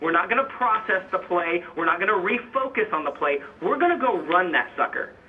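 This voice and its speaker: Noticeable background noise runs under the clip. A man talks at a very fast pace. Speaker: fitness coach and motivational speaker. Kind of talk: interview, motivational talk. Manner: animated.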